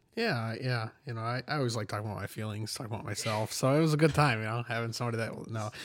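Very fast and with hardly any pauses, a man with an American accent talks at medium pitch on a very clean recording with a silent background. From Michigan, small farm town. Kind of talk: casual chat.

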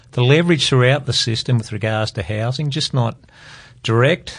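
Against a quiet background, a man with an Australian accent speaks at a medium pitch in a somewhat breathy voice. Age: 50s. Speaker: private investor. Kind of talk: panel discussion about financial markets. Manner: hesitant, many fillers.

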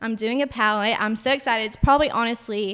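A woman's fairly high, bright and sharp voice with a Southern US accent and fairly even intonation. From Alabama. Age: 20s. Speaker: cosmetics entrepreneur. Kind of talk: interview.

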